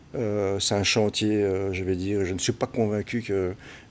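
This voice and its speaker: A man speaks at a fairly slow pace. His voice is fairly low in pitch. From Belgium, Brussels. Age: 60s. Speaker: football recruiter. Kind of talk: interview. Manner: halting.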